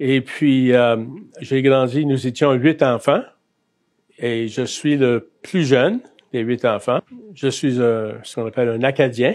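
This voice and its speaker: A man talks very slowly, leaving long, frequent pauses. His medium pitch follows a fairly even intonation. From Acadia, New Brunswick (Bathurst, north shore). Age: 60s. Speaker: Salvation Army chaplain. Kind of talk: testimony interview. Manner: hesitant, many fillers.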